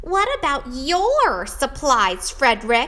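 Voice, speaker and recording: A female-sounding voice puts on a high-pitched character voice at a very slow pace. Light background noise runs underneath. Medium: read story. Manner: questioning, reproachful then anxious.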